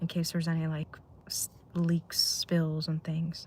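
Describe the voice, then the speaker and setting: A woman talks at a fairly slow pace with a fairly low pitch and monotone, flat intonation. Her voice is somewhat breathy with a dark, mellow tone. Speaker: live streamer. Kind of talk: casual chat. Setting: in a car.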